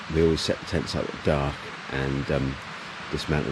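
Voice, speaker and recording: A man with an English accent speaks in a very deep, low pitch, with audible room echo and noticeable background noise. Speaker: hiking vlogger. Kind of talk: casual vlog narration. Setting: outdoors. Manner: loud.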